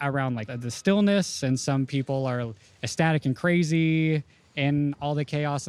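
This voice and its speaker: A plain, everyday voice with an American accent speaks at a fairly slow pace. The pitch variation is ordinary. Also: man. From Houston, Texas. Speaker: illustrator and painter. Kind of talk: interview.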